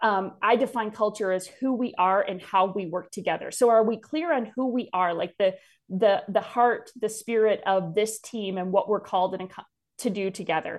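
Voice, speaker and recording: A woman with an American accent speaks at fairly high pitch and a moderate pace with ordinary pitch variation, in a plain, everyday voice. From north central Wisconsin. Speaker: leadership consultant and company founder. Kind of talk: casual interview.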